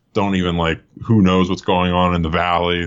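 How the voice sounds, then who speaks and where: A man talks in an American accent at a moderate pace. His pitch is very deep and low. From US Northeast, suburban Philadelphia. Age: 30s. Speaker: comedian. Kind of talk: casual chat. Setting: video call.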